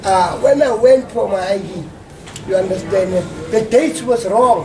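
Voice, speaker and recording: The recording has noticeable background noise and audible room echo. A man with a high pitch talks at a fairly slow pace. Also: ordinary pitch variation. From South Africa, Soweto. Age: 50s. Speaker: community worker and local researcher. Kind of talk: interview. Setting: hotel.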